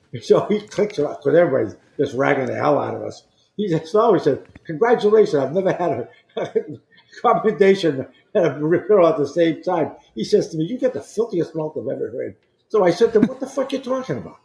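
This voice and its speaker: Speaking at a very fast pace in a Boston accent, a man uses a high pitch with very wide pitch swings. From Boston, Massachusetts. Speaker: former navy flight officer and pilot. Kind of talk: storytelling interview.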